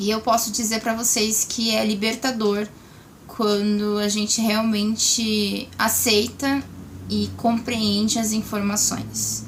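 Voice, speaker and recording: A woman speaks very slowly at a fairly high pitch, monotone and flat, with very even loudness. Noticeable background noise runs beneath her voice. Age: 20s. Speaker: vlogger sharing cancer experience. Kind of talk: casual vlog talk to camera.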